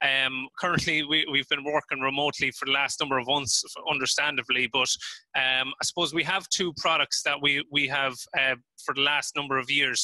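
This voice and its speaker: A man with an Irish accent talks at a fairly quick pace in a bright, sharp, fairly high voice, flat and monotone, at very even loudness, with a dry, close sound and no echo. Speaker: agritech company representative. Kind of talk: webinar presentation. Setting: remote live video link.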